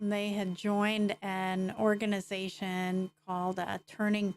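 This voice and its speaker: A woman's medium-pitched, monotone voice with flat intonation, fairly slow, in a dry, close recording without echo. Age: 60s. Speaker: constitution presenter. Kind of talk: casual chat.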